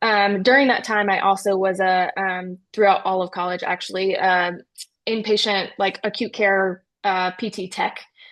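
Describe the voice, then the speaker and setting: A woman with a slight North Carolina accent speaks at a moderate pace in a medium pitch with flat, monotone intonation. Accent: slight Southern US (North Carolina). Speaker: critical care physical therapist. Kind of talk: interview.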